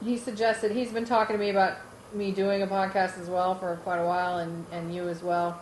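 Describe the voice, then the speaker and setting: A woman at medium pitch and a fairly quick pace, her intonation fairly even, with audible room echo. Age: 40s. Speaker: podcast co-host. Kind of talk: casual family podcast chat.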